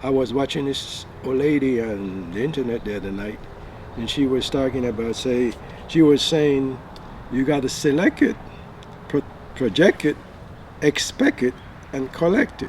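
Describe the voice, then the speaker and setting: A man at medium pitch and a moderate pace, ordinary pitch variation, long and frequent pauses, noticeable background noise behind him. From Belize. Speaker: retired business owner. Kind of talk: casual talk to camera.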